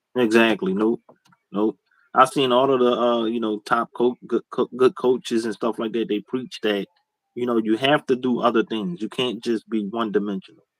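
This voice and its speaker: A man's plain, everyday voice with an American accent, medium pitch, ordinary pitch variation and a moderate pace, in dry, close sound with no echo. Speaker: sports podcast co-host. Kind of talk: casual chat.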